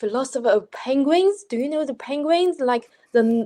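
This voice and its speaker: A voice in a Chinese accent carries a dark, mellow tone and ordinary pitch variation. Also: woman. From China. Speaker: postgraduate philosophy student. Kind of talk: panel discussion. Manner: halting.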